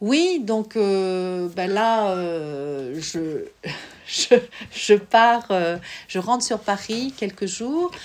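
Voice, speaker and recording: Speaking at a very slow pace with long, frequent pauses, a woman uses lively intonation. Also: medium pitch for a woman. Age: 50s. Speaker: visual artist, former psychoanalyst. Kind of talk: interview. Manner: hesitant, with frequent fillers.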